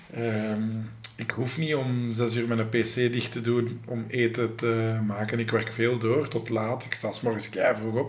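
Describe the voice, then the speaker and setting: Speaking in a flat monotone at medium pitch, a man is heard with audible room echo and noticeable background noise. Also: fairly slow pace. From Flanders, Belgium (Lennik, Flemish Brabant). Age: 30s. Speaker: reality TV contestant. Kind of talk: casual chat.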